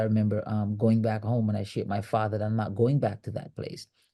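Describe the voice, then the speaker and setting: Over a quiet background, a man with a strong Jamaican accent talks at a fairly quick pace. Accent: Jamaican, thick. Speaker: leadership coach and author. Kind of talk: interview conversation. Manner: frequent repetitions and fillers.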